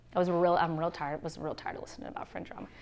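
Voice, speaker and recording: A woman is speaking. Her tone is bright and sharp. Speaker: church workshop speaker. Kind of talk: workshop talk. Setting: conference room with audience. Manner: fast.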